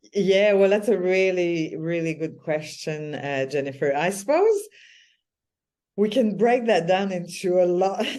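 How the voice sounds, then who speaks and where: A woman speaks in a Quebec French accent at a medium pitch, her tone dark and mellow. The room adds audible echo. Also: ordinary pitch variation, fairly slow pace. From Quebec, Canada. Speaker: spiritual business mentor. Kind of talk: interview.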